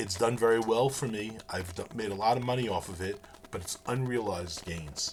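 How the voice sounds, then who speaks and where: Against noticeable background noise, a man with a medium pitch talks at a moderate pace with lively intonation. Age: 60s. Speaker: professor. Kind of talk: lecture. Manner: halting.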